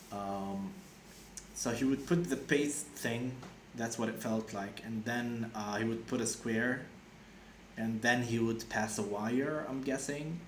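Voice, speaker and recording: Audible room echo and noticeable background noise fill this clip. A man talks at a very slow pace, with medium pitch and ordinary pitch variation. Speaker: vlogger sharing personal experience. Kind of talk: casual monologue. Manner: halting, many fillers and restarts.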